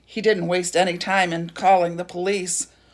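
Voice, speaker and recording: A woman puts on a raspy character voice at medium pitch. Her intonation is monotone and flat, her pace moderate. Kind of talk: read-aloud storytelling. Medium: read story.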